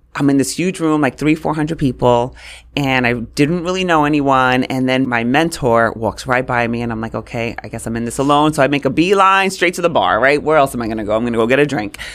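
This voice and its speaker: Talking at a very fast pace with hardly any pauses, a woman with a New York accent has a very deep, low pitch and ordinary pitch variation. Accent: New York City. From New York City (Brooklyn and Queens), Puerto Rican family. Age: 40s. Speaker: communications coach. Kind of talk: interview.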